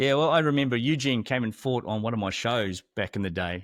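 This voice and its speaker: A man speaks at medium pitch and a moderate pace, with ordinary pitch variation and a normal speaking voice. The recording is very clean, with a silent background and a dry, close sound with no echo. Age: 60s. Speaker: podcast host and former fighter. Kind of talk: casual chat.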